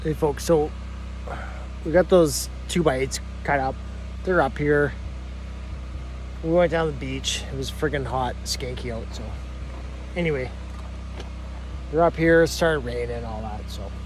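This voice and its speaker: A man speaks at a moderate pace with long, frequent pauses and big swings in loudness. Audible room echo and noticeable background noise fill the recording. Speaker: sawmill homesteader vlogger. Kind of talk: casual vlog talk to camera. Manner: casual, rambling with fillers.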